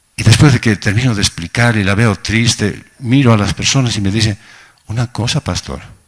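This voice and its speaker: Medium-pitched male speech with ordinary pitch variation and a dry, close sound free of echo. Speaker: pastor. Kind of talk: sermon. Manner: slow, sometimes halting.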